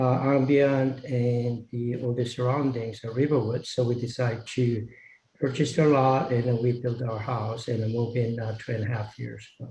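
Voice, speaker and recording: Somewhat breathy, a man speaks at a medium pitch and a moderate pace in a monotone, flat way. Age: 70s. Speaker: applicant, local resident. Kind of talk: public hearing statement. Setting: video call. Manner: halting, many fillers.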